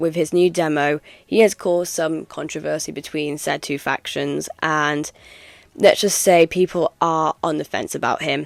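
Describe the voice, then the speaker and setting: Heard in a dry, close sound with no echo, a woman with an English accent talks at a moderate pace in a very deep, low pitch. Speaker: gaming YouTuber. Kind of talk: commentary video. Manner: hesitant, many ums.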